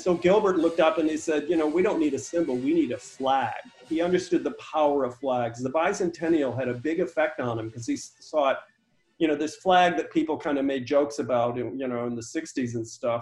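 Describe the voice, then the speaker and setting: An unremarkable speaking voice from a man, pitched fairly high. He talks at a fairly quick pace with ordinary pitch variation. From small-town Michigan. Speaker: foundation director. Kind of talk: interview.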